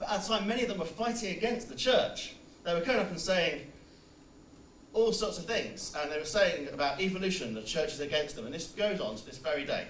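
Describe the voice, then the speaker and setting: A man with a high pitch speaks at a fairly quick pace with very wide pitch swings. Audible room echo and noticeable background noise surround him. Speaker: student debater. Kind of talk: formal debate.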